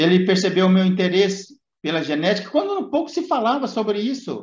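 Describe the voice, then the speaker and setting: With lively intonation, a man speaks at a moderate pace in a high pitch. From Minas Gerais, Brazil. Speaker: podcast host. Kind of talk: casual chat.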